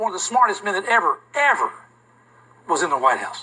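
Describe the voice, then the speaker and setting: A man's raised, projected voice at an extremely high pitch, in a Southern US accent with lively intonation over noticeable background noise. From US South. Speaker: history teacher. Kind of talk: classroom lecture.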